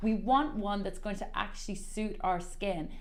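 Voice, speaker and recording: A woman at a moderate pace, with very wide pitch swings and audible room echo. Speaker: skin therapist. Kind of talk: tutorial.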